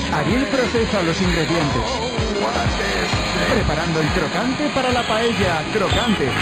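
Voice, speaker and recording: Loud music plays in the background as the speaker goes at a fairly slow pace with long, frequent pauses. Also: man. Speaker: TV host and announcer. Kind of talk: TV cooking show hosting, casual banter. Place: studio.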